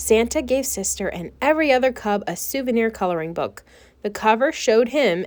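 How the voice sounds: A natural reading voice carries lively intonation.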